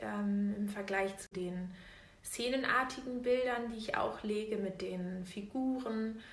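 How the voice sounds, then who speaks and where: There is noticeable background noise and audible room echo. The woman's voice sits at a medium pitch, with ordinary variation. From Berlin, Germany. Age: 20s. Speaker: botanical artist. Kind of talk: interview.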